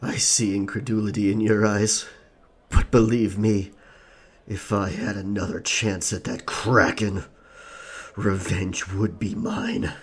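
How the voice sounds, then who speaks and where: A man uses a put-on character voice, fairly low in pitch. He talks fairly slowly, with long, frequent pauses. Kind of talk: pirate role-play storytelling. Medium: audio drama. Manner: dramatic, gravelly storyteller.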